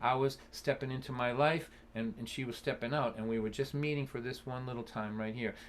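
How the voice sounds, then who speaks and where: Speaking fairly quickly with a Boston accent, a man uses ordinary pitch variation. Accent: Boston area. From Massachusetts (Lynn, near Boston). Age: 60s. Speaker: folk singer-songwriter and storyteller. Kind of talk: storytelling in a live-streamed concert. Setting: live stream concert. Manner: animated.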